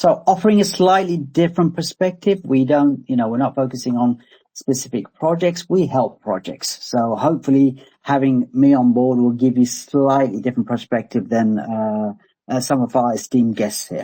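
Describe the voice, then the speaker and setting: In an English accent, a man with a dark, mellow tone and medium pitch speaks at a moderate pace. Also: lively intonation. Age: 50s. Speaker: crypto growth accelerator founder. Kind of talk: casual panel discussion.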